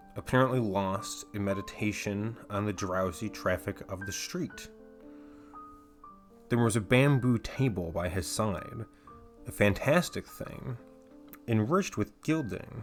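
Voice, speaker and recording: With music in the background, a man speaks at a fairly slow pace in a fairly low pitch, using lively intonation. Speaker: audiobook narrator. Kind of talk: horror audiobook reading.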